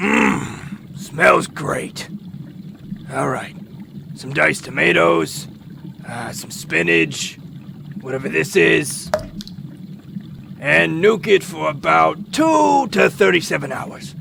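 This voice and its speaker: Over clear background noise, a man puts on a raspy character voice with a deadpan tone, talking at a very slow pace with long, frequent pauses and big swings in loudness. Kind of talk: comic overacting. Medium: comedy sketch. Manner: crude, blunt, deadpan menace.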